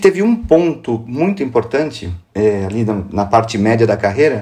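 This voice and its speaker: Somewhat breathy, a man speaks at a medium pitch with lively intonation and a dark, mellow tone. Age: 50s. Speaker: business executive and investor. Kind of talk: interview. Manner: informal, slangy.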